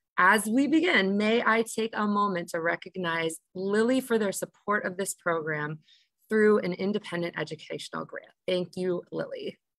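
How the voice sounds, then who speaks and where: At a moderate pace and with ordinary pitch variation, a woman speaks in a dry sound with no echo against a quiet background. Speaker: program moderator. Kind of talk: introductory moderation. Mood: cheerful, laughing often. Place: home room. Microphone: video call.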